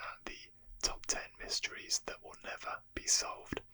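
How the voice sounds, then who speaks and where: Someone whispers at a moderate pace in a relaxed tone. Noticeable background noise runs underneath. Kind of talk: ASMR history narration. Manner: whispered; soft-spoken, relaxed.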